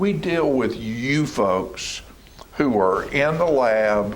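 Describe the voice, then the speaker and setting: A man with a Tennessee accent, medium pitch and lively intonation, amid noticeable background noise and audible room echo. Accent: US Southern (Tennessee). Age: 70s. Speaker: local TV talk show host. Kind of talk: casual interview chat. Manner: animated.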